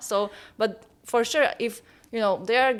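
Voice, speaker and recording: In a Slovak accent, a woman speaks at a fairly high pitch with fairly even intonation. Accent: Slovak accent, often mistaken for Russian. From Slovakia. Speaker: model. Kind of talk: casual chat. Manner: halting.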